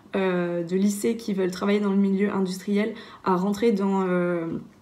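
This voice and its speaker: Heard with audible room echo, a woman speaks at a medium pitch in a dark, mellow tone. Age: 20s. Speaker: engineering student. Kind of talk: testimony. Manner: hesitant, many filler sounds.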